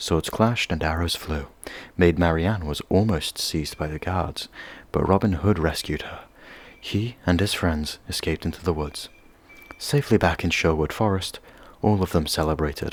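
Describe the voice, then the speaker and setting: A man's very deep, low voice with a soothing tone, ordinary pitch variation and a moderate pace. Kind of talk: soft ASMR story reading. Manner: soft, soothing.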